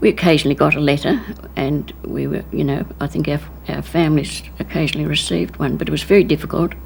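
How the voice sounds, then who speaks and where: Over noticeable background noise, the speech rushes along very fast. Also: woman. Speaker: war veteran. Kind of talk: testimony.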